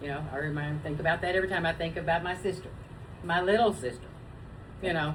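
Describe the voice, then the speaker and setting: A woman with a fairly low pitch at a very fast pace, with ordinary pitch variation and long, frequent pauses, amid audible room echo and noticeable background noise. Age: 60s. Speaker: web show co-host. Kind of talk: casual chat.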